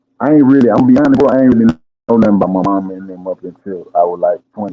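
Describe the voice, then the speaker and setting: A man with an American accent talks at a very fast pace. His pitch is medium, with ordinary pitch variation. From Georgia, US South. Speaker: rapper. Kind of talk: casual chat.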